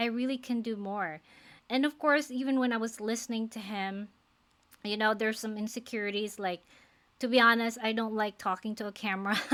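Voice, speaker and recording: A woman with a Filipino accent, bright and sharp in tone, fairly high in pitch, fairly quick, with fairly even intonation, on a very clean recording with a silent background. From Philippines. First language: non-English (Philippine language). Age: 40s. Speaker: nurse and faith-based life coach. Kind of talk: personal vlog, motivational talk to camera. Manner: casual, conversational with hesitations.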